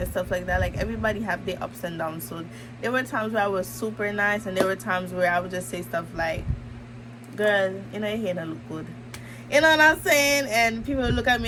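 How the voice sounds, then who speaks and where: A woman at a fairly quick pace and medium pitch, with very wide pitch swings, audible room echo and noticeable background noise. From Antigua. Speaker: YouTuber. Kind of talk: personal vlog storytelling. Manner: casual, chatty.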